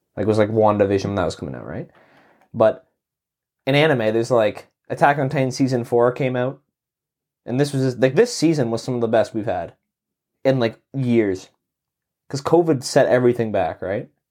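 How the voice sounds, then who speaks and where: At a fairly quick pace broken by long, frequent pauses, a man with a Canadian accent speaks at a medium pitch with ordinary pitch variation. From Canada. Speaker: podcast co-host. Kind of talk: casual chat.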